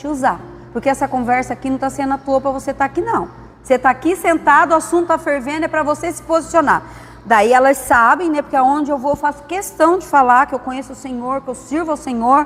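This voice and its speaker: Over noticeable background noise, a woman speaks high at a fairly quick pace with ordinary pitch variation. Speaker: pastor's wife teaching a church class. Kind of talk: church class lesson. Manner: conversational storytelling.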